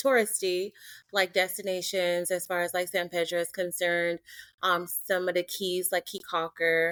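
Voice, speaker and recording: A woman with an American accent at a moderate pace, her intonation monotone and flat, in a dry, close sound with no echo and a very clean recording over a silent background. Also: medium pitch for a woman. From Belize (Dangriga), then Long Beach, California from age seven. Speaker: travel content creator. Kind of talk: interview.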